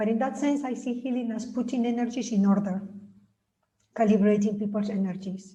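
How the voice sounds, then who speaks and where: Speaking at a fairly quick pace, a woman with a fairly high pitch and a dark, mellow tone sounds somewhat breathy, with audible room echo. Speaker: spiritual author. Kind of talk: reading aloud. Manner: droning.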